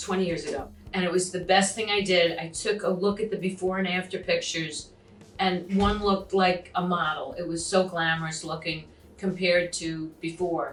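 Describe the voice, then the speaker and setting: Over noticeable background noise and audible room echo, a woman speaks at a medium pitch and a moderate pace with monotone, flat intonation. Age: 60s. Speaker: actor and comedian, facelift patient. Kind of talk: interview testimony.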